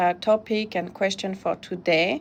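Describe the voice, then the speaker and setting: Speaking with a French accent at a moderate pace, a woman keeps a medium pitch in a monotone, flat intonation. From France. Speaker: immigration consultant. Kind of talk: webinar presentation. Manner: halting, many fillers.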